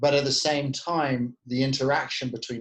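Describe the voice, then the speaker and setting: This man has a British accent and a medium pitch. He speaks at a moderate pace. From UK. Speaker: tech company CEO. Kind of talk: podcast interview.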